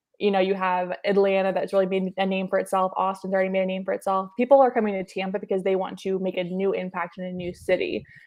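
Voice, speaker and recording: A woman talks at a very fast pace with a medium pitch. The background is quiet. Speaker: business and tech reporter. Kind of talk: interview.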